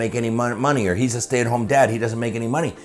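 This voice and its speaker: A man at medium pitch, with noticeable background noise behind him. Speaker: insurance sales trainer. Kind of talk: promotional pitch for a course. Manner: fast; animated.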